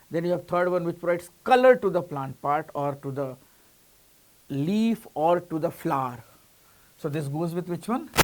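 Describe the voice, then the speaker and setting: In an Indian accent, a man speaks at a high pitch with lively intonation and long, frequent pauses. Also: moderate pace. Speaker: coaching teacher. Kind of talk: lecture. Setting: online class.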